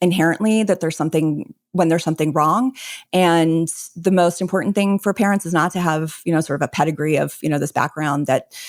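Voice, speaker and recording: A woman with an American accent speaks in a normal speaking voice at a fairly low pitch, with ordinary pitch variation and a fairly quick pace. Her loudness stays very even on a very clean recording with a silent background. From Texas. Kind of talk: interview.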